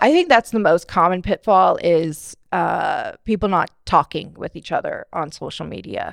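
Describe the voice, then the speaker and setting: Barely pausing at all, a woman speaks at a moderate pace with big swings in loudness, in a dry, close sound with no echo and a very clean recording with a silent background. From Bakersfield, California. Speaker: digital marketing agency owner. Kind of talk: interview.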